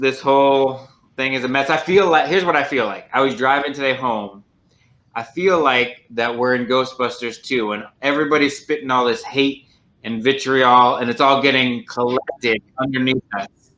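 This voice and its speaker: A man speaks loudly at medium pitch and moderate pace. His intonation is fairly even, and his tone is bright and sharp. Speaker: broadcast producer and co-host. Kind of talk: casual chat.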